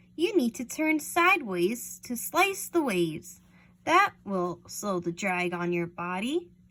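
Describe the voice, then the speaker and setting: A woman puts on a character voice at a medium pitch. Her delivery is fairly slow. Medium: read story. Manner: patient.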